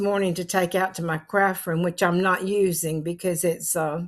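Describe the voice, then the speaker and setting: Over a silent background in a very clean recording, a woman with a North Carolina accent talks at a moderate pace, her pitch medium and her intonation fairly even. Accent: Southern US (North Carolina). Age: 80s+. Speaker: vlogger. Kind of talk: casual chat.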